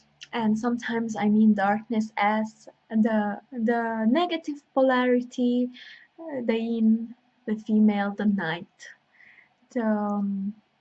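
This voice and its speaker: Speaking very slowly, a woman with a fairly high pitch and a dark, mellow tone sounds somewhat breathy, her pitch varying in an ordinary way. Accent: non-native. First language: not English. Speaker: intuitive healer and astrologer. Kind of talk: spiritual workshop talk with guided invocation. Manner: halting, with many fillers.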